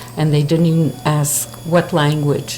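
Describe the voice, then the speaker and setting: In a Montreal accent, a woman speaks with a very deep, low pitch. Her pace is moderate, and noticeable background noise is present. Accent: Montreal English-speaking Canadian. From Montreal, Quebec. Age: 70s. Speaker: interviewee. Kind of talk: street interview.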